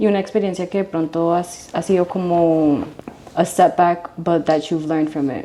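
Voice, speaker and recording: Speaking at a fairly slow pace with fairly low pitch and fairly even intonation, a woman is heard over noticeable background noise. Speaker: interviewer, host. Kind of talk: interview questions.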